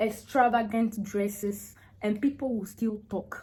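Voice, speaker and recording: A woman with a fairly high pitch and a dark, mellow tone speaks with fairly even intonation. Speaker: vlogger giving relationship advice to women. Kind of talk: casual vlog monologue. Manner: slow, naturally; hesitant, with many fillers.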